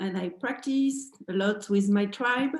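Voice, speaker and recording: A woman with a French accent talks at a very slow pace, with a medium pitch and ordinary pitch variation. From France. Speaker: dance teacher. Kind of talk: dance tutorial. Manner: halting.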